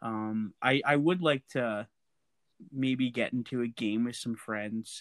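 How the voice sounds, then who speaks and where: Here a man with a Canadian accent talks at a very slow pace. His pitch varies in an ordinary way. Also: medium pitch for a man. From Alberta, Canada. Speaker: podcast co-host. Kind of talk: casual chat.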